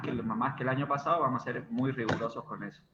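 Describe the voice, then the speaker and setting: Noticeable background noise behind a man at a fairly quick pace. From Argentina, Córdoba. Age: 30s. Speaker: university lecturer. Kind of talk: online class. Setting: video call.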